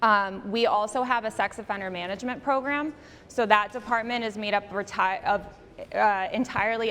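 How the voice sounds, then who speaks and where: Loud and bright with a sharp tone, a woman talks at a fairly quick pace with ordinary pitch variation. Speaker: victim services director. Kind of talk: community presentation. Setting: public meeting in library, with microphone. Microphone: clip-on microphone, room echoes.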